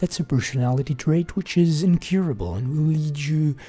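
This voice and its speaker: A man speaks at a moderate pace in a fairly high pitch, his dark, mellow tone somewhat breathy and his pitch varying in an ordinary way. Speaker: gaming streamer. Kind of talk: reading aloud. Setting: live stream.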